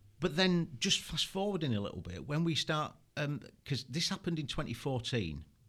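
With a Yorkshire accent, a man talks at a fairly quick pace in a fairly high pitch, his intonation lively. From Yorkshire, England. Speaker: former military interrogation instructor and consultant. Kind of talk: casual interview chat.

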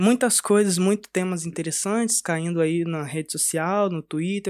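In a very clean recording with a silent background, a man with a high pitch and ordinary pitch variation comes across in a dry, close sound with no echo. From Brazil, Espírito Santo (Cariacica, near Vitória). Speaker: podcast host. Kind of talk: casual chat. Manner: animated.

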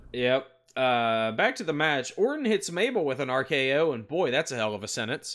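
With an ordinary speaking voice, a man talks at a moderate pace and a fairly high pitch, his intonation lively. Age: 30s. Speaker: wrestling podcast host. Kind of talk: casual chat. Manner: play-by-play recap of matches.

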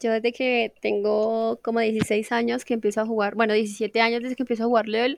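A woman's unremarkable speaking voice, fairly high in pitch and fairly quick in pace, with a dry, close sound with no echo over a quiet background. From Colombia, Casanare. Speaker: gamer and streamer. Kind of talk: casual chat.

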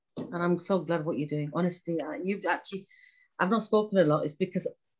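Very fast delivery with a British accent. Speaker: podcast host. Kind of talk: interview.

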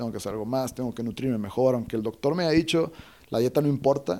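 At a very fast pace, a man talks in a medium-pitched, dark and mellow voice with ordinary pitch variation. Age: 30s. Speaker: breathwork and cold exposure instructor. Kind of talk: interview. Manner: halting, many repetitions.

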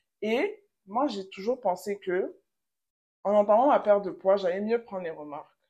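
Pausing long and often, a woman with a dark, mellow tone speaks at a moderate pace and medium pitch, her intonation lively. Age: 20s. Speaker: psychology graduate. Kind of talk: casual chat.

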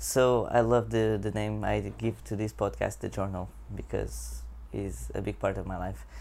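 A man with a Portuguese accent, at a moderate pace. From Portugal. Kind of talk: channel intro monologue. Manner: halting.

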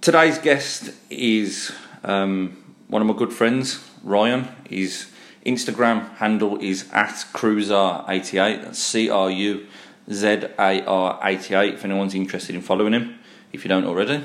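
A fairly slow, fairly low-pitched man's voice with a Brummie accent, ordinary pitch variation and audible room echo. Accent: Brummie (Birmingham). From Birmingham, England. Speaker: podcast host. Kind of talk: casual chat.

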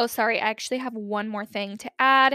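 Bright and sharp in tone, a woman with an American accent sounds animated at a fairly high pitch, in a very clean, dry, close recording with no echo and a silent background. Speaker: podcast host. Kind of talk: casual chat. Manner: fast talker.

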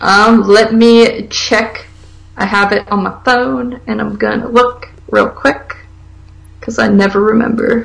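A woman talks at a fairly slow pace with fairly high pitch and fairly even intonation. Background noise is noticeable. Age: 20s. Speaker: podcast co-host. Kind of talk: casual chat.

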